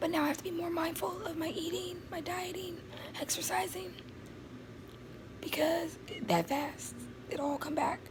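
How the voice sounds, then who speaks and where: Over noticeable background noise, a woman with a high pitch speaks at a moderate pace with ordinary pitch variation and long, frequent pauses. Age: 20s. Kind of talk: casual talk to camera.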